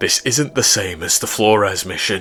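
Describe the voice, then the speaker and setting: A man does a put-on character voice with a fairly low pitch at a moderate pace. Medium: read story. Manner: confident, persuasive.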